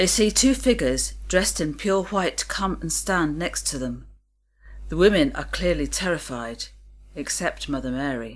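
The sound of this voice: Lively intonation at a fairly slow pace. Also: woman, low pitch for a woman.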